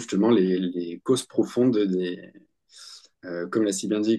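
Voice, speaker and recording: Speaking at a fairly slow pace, a man uses a fairly low pitch, a dark, mellow tone and fairly even intonation. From France, Bordeaux. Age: 20s. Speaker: medium and Ayurveda practitioner. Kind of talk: interview. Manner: halting, many hesitations and repetitions.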